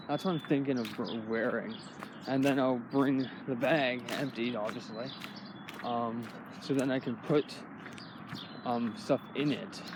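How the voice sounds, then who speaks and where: Man with a medium-pitched voice, a fairly slow pace, long and frequent pauses, ordinary pitch variation, and noticeable background noise. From Canada. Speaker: vlogger. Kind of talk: casual vlog monologue. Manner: rambling, hesitant with many fillers.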